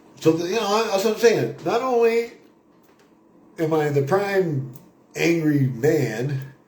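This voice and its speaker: There is a man speaking with lively intonation. His voice carries audible room echo. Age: 60s. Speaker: vlogger on a spiritual pilgrimage. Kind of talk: casual spoken monologue to camera. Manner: rambling with frequent fillers.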